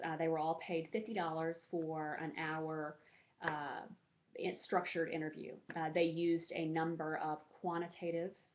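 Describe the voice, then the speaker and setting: A woman with an American accent speaks at a fairly low pitch, her intonation flat and monotone. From US South, rural Alabama. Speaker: graduate student. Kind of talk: class presentation. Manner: halting, many fillers.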